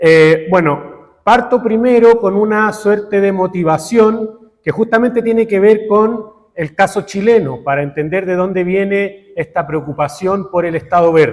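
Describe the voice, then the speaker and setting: Hardly pausing, a man speaks fairly slowly at a high pitch with ordinary pitch variation. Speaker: professor. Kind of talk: conference talk. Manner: deliberately slow; hesitant, many fillers.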